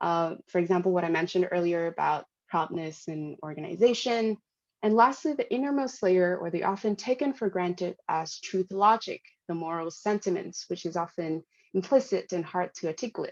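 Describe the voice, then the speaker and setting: Lively intonation runs through a woman's medium-pitched voice with a Hanoi accent, in a dry, close sound with no echo. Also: moderate pace, quiet background. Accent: Vietnamese (Hanoi). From Vietnam, Hanoi (northern). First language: Vietnamese. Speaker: product designer and conference speaker. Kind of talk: conference talk. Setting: live-streamed conference session.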